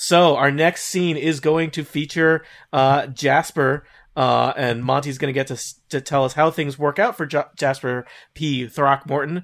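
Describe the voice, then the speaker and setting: This man has an unremarkable speaking voice, fairly high for a man, talking at a fairly slow pace with fairly even intonation on a very clean recording with a silent background. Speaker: game show host. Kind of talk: storytelling game. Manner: laughs often.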